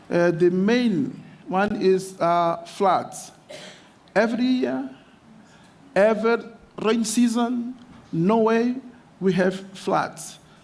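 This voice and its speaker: In a Portuguese accent, a man speaks at a very slow pace and a high pitch with ordinary pitch variation, and audible room echo surrounds his voice. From Mozambique. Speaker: mayor. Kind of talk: conference speech. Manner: halting.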